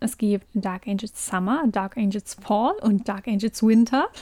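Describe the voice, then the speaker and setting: A woman's fairly high voice at a very slow pace, dry and close with no echo. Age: 20s. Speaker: podcast co-host. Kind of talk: casual chat.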